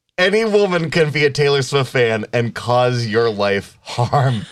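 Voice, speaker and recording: In a very clean recording with a silent background, a man with a medium pitch talks at a fairly slow pace in an animated tone with very wide pitch swings. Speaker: podcast co-host. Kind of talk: casual banter. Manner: joking, animated.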